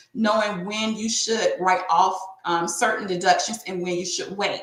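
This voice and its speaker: With an American accent, a woman talks at a moderate pace in a room with audible echo. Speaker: tax and bookkeeping professional hosting a business webinar. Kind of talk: webinar presentation.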